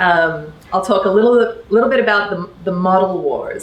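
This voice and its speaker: A woman with an Australian accent at a fairly low pitch, fairly quick pace and ordinary pitch variation, amid noticeable background noise and audible room echo. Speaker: electoral reform advocate. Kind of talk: talk to a workshop audience. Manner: many fillers and restarts.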